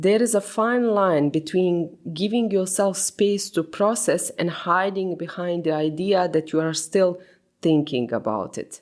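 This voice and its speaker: Speaking at a fairly slow pace, a woman with a non-native accent uses a medium pitch and ordinary pitch variation. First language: not English. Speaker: podcast host. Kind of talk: reflective solo podcast monologue.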